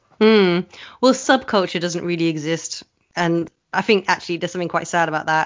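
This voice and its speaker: This woman has a southern English accent and a fairly low pitch. She talks at a fairly quick pace with ordinary pitch variation. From England, Oxford. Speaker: burlesque performer. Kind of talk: casual chat.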